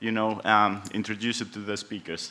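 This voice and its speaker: At a moderate pace, a man talks with a Greek accent. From Greece. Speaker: panel moderator. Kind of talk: conference pitch.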